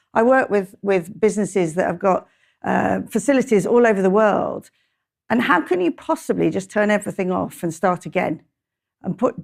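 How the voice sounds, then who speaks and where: A woman speaks at a moderate pace in a medium pitch, with ordinary pitch variation and vocal fry, on a very clean recording with a silent background. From English Midlands. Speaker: conference speaker on manufacturing technology. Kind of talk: conference talk. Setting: stage with audience. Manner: conversational, hesitant with fillers.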